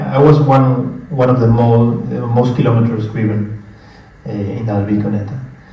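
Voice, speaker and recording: A man with a Spanish accent, amid noticeable background noise and audible room echo. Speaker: conference presenter. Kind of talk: conference talk with audience Q&A. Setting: conference room with live audience. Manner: hesitant, many fillers.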